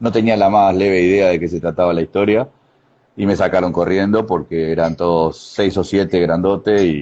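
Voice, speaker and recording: His very deep, low voice keeps a fairly even intonation as the man speaks. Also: moderate pace. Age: 60s. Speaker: karate master. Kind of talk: interview. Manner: halting.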